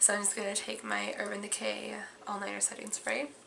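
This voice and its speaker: The speech comes at a moderate pace, with noticeable background noise and audible room echo. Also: woman. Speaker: beauty vlogger. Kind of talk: makeup tutorial vlog. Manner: casual, chatty.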